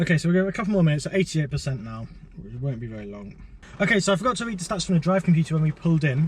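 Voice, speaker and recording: A man at a fairly high pitch and a very fast pace, with very wide pitch swings, big swings in loudness and noticeable background noise. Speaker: electric car vlogger. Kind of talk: driving vlog commentary. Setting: in a car.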